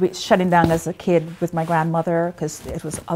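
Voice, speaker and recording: This woman's fairly low voice stays monotone, with flat intonation. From Guyana, Georgetown. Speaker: actress and playwright. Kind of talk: interview. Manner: halting.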